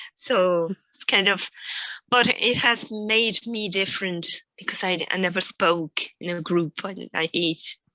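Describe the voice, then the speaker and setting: A woman with a non-native accent speaks at a fairly slow pace and a medium pitch, with ordinary pitch variation. The sound is dry and close, with no echo. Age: 50s. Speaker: Joyce reader, reading group member. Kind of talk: casual chat. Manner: halting.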